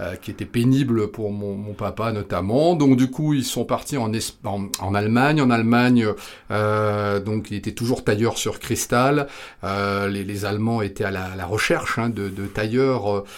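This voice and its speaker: On a very clean recording with a silent background, a man speaks at a fairly slow pace. His pitch is fairly low, with ordinary variation. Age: 50s. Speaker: sales trainer. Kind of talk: interview. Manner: hesitant, with many fillers.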